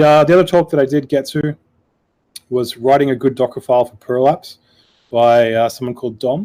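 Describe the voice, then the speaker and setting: A man with an Australian accent speaks at a fairly quick pace in a dark, mellow tone, his medium-pitched intonation fairly even. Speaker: podcast panelist, software developer. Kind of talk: casual panel discussion. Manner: hesitant, many fillers.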